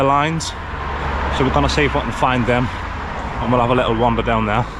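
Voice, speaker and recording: Very fast speech from a man, with noticeable background noise. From north-east England, Sunderland area. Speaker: travel vlogger. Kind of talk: casual vlog narration to camera. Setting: outdoors, walking streets.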